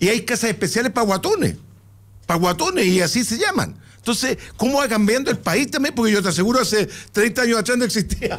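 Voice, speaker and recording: Fairly quick, animated speech with lively intonation and very even loudness. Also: man, high pitch for a man. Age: 70s. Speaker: panelist. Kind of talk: radio panel discussion.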